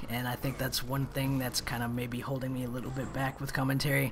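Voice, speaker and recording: A man with a medium-pitched voice speaks over noticeable background noise. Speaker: gaming commentator. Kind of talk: gameplay commentary monologue. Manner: monotone when in pain; trying to be animated.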